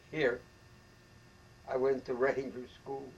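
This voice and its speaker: In an American accent, a man speaks at a fairly slow pace, his fairly high-pitched voice somewhat breathy. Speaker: war veteran. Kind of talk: interview answer.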